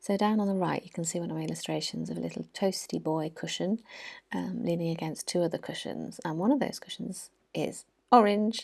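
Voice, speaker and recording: A soft-spoken woman at a fairly quick pace, on a very clean recording with a silent background. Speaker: art journaling YouTuber. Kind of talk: tutorial voiceover. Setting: at home, early morning. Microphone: mic very close, sound may be weird.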